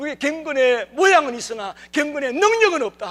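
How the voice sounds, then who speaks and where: The voice is raised and projected. Its intonation is lively. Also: man. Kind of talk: sermon, preaching.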